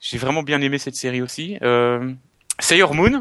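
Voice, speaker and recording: At a moderate pace, a man talks in a bright, sharp, fairly high voice with ordinary pitch variation. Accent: Belgian. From Belgium. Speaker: collector and video maker. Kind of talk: casual chat.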